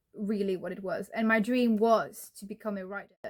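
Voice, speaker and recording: This woman's pitch is fairly high, with a non-native accent. She talks at a moderate pace. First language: not English. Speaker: writing vlogger. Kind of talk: personal storytelling vlog. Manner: halting, self-correcting.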